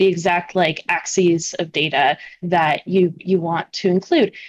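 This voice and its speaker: Here a woman has an ordinary speaking voice, pitched fairly low. She speaks at a fairly slow pace with fairly even intonation. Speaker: remote guest. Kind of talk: interview answer. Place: home room. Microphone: video call.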